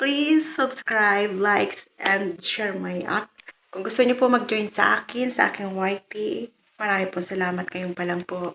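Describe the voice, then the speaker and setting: A woman's fairly high voice moves along at a moderate speed. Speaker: vlogger. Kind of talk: unboxing vlog. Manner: polite, informal.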